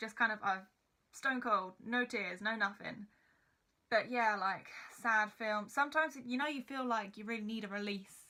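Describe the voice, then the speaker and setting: The voice has a bright, sharp tone and ordinary pitch variation. It moves at a moderate pace with long, frequent pauses. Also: woman, fairly high pitch for a woman. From Essex, England. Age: 20s. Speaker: YouTuber. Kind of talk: casual vlog chat.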